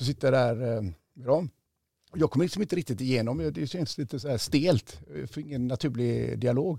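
A man speaks at a moderate pace with vocal fry and a dark, mellow tone. His intonation is lively, and the sound is dry and close with no echo. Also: medium pitch for a man. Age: 50s. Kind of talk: interview. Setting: studio.

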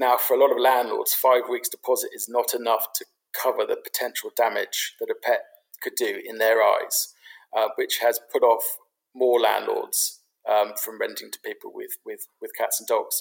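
A London accent with big swings in loudness. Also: man, moderate pace. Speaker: pet property business founder. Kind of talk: casual interview. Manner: halting, many fillers.

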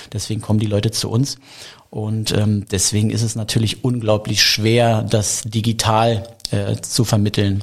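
This man talks at a moderate pace in a fairly low, somewhat breathy voice with monotone, flat intonation. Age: 40s. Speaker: craft beer bar owner. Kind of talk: interview.

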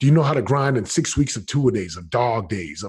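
This somewhat breathy voice goes at a fairly quick pace with ordinary pitch variation. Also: man. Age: 40s. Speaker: retired NFL player turned real estate entrepreneur. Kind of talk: interview. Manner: animated.

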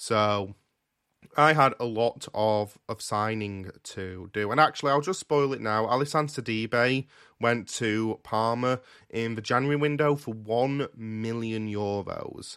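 A normal speaking voice from a man with medium pitch and ordinary pitch variation, at a fairly slow pace over a quiet background. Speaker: podcast co-host. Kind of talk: casual chat.

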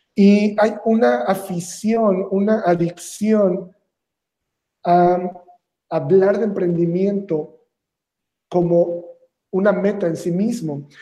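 Very slowly and with long, frequent pauses, a man with a Mexican accent speaks in a high, dark, mellow voice with fairly even intonation. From Mexico, Veracruz. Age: 30s. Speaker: entrepreneur. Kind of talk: interview.

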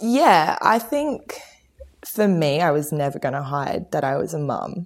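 A woman talks with an Australian accent. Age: 20s. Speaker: pop musician and mother. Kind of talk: interview conversation. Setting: remote call from home garage.

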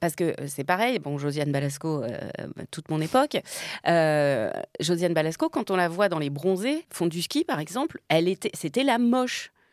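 This woman has a fairly low pitch with very wide swings and a moderate pace. The sound is dry and close, with no echo. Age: 50s. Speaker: actress and comedian. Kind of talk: casual chat.

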